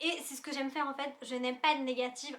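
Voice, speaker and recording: A woman's raised, projected voice, high-pitched, bright and sharp in tone, at a very fast pace. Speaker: YouTuber. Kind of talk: casual vlog review. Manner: animated.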